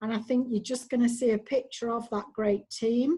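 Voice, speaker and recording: With a Mancunian accent, a woman speaks at a moderate pace in a dark, mellow tone with fairly even intonation. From Manchester, England. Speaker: clinical data manager, former nurse. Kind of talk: online presentation.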